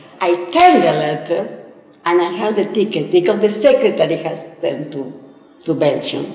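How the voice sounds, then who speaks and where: Amid light background noise and audible room echo, a woman with a fairly low voice speaks at a fairly slow pace. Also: long, frequent pauses. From Argentina. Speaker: community member; interviewee. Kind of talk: interview storytelling. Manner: halting. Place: studio.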